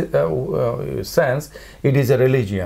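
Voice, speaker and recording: A man speaks with a Chittagong accent. His voice is somewhat breathy, with very wide pitch swings. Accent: Chittagonian Bengali accent in English. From Chittagong, Bangladesh. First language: Bengali. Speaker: philosophy professor. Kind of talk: interview answer. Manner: hesitant, extempore.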